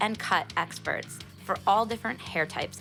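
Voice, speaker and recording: With music in the background, a woman speaks at a fairly slow pace and medium pitch. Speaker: podcast host and entrepreneur. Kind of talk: radio-style ad read.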